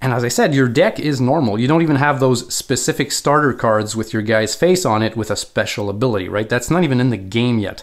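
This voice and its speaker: With lively intonation, a man in a Quebec accent speaks at a moderate pace on a very clean recording with a silent background. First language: French. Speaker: board game video creator. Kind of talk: tutorial. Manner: casual, with frequent fillers.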